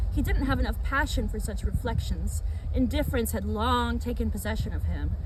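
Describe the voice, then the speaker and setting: Over noticeable background noise, a woman with a very deep, low voice speaks at a moderate pace with ordinary pitch variation. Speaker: ASMR reader / channel host. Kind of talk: ASMR literary reading of a book, read aloud.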